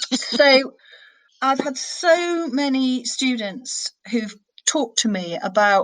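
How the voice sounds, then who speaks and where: Lively intonation from a woman with a northern English accent. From northern England. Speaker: senior criminal barrister. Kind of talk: interview.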